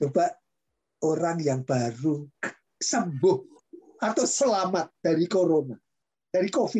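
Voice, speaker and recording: Delivery comes at a fairly slow pace, broken by long, frequent pauses. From East Java, Indonesia. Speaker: professor and podcast host. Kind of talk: casual interview chat. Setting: video call. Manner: animated, talkative, laughs often.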